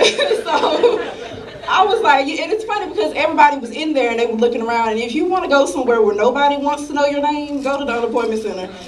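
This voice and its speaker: A woman speaks at a fairly quick pace with very wide pitch swings. Noticeable background noise runs underneath. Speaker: stand-up comedian. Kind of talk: live stand-up comedy set. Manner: casual, brash.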